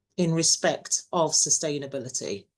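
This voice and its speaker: The pace of this woman's speech is moderate. She has an English accent. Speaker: university webinar moderator. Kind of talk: webinar introduction. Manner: hesitant, many fillers.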